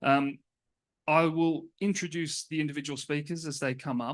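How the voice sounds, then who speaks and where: The background is quiet. A man with an Australian accent speaks at a moderate pace. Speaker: panel moderator. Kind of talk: conference panel introduction. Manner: hesitant, many fillers.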